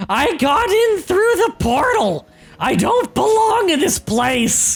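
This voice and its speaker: The speaker uses a put-on character voice at an extremely high pitch. Their pitch swings very widely, at a fairly slow pace. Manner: frantic, panicked.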